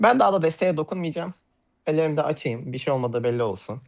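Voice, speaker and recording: A very clean recording with a silent background, carrying lively intonation. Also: man. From Turkey, Hatay. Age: 20s. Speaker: card magician. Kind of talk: live magic demonstration. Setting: voice call on a livestream.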